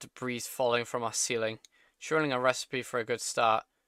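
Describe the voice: Against quiet surroundings, someone does plain reading aloud.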